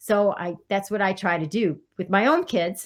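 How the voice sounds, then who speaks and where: A woman speaks in a normal speaking voice. Her pitch is medium, with ordinary pitch variation. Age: 60s. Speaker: career counselor. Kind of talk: podcast interview.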